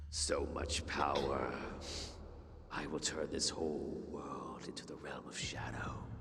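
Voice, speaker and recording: A man performs a put-on character voice at a fairly slow pace. Loud background noise and a clear echo fill the recording. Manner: menacing, grandiose.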